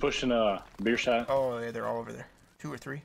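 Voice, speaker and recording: At a fairly quick pace, a man is talking. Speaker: gaming streamer. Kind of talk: gameplay callouts to teammates. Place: home room. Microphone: headset.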